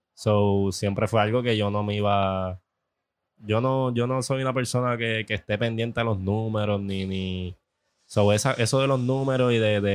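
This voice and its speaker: Fairly even intonation in a normal speaking voice. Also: man, fairly low pitch for a man, fairly slow pace. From Puerto Rico. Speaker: social media cook. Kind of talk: casual chat. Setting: food festival.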